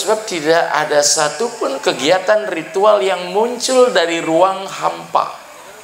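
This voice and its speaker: Noticeable background noise sits behind the recording. Over it, a man speaks at a high pitch. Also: hardly any pauses. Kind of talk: dharma talk at ceremony. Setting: evening ceremony with audience. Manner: formal.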